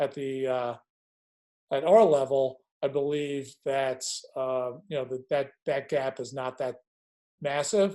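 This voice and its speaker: A man with a strong Long Island accent, dark and mellow in tone, at a very slow pace with long, frequent pauses and fairly even intonation. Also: fairly high pitch for a man. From Long Island, New York. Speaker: lacrosse coach. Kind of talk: coaching webinar. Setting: video call webinar. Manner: hesitant, many fillers and repeats.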